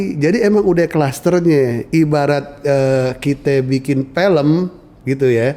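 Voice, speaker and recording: At a very slow pace, a man with a fairly high pitch, a dark, mellow tone and ordinary pitch variation speaks at a very even loudness. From central Betawi, Jakarta. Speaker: Betawi culture expert. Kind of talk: podcast conversation. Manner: casual, colloquial.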